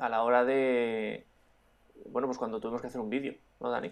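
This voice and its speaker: A man at a fairly quick pace. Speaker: drone podcast co-host and YouTuber. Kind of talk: casual chat.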